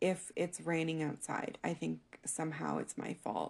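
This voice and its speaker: A woman speaks at a fairly slow pace. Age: 30s. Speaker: podcast host. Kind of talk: solo personal monologue.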